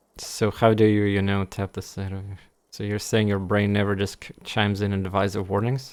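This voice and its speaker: Over a very clean recording with a silent background, a man talks at a fairly quick pace with fairly low pitch, monotone, flat intonation and big swings in loudness. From Russia. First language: Russian. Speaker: game streamer. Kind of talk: casual gameplay commentary. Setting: live stream. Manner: halting, many fillers and restarts.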